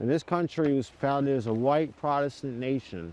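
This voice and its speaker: This man's voice has a dark, mellow tone and ordinary pitch variation. The background is quiet. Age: 30s. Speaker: Klan member, builder. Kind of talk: interview. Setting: outdoors, playground.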